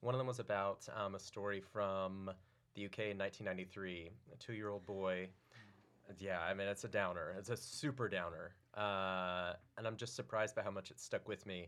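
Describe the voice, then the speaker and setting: An unremarkable speaking voice belongs to a man with an American accent and a fairly low pitch. His intonation is fairly even, and his pace is moderate. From Oklahoma. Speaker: comedy writer and stand-up comedian. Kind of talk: casual chat.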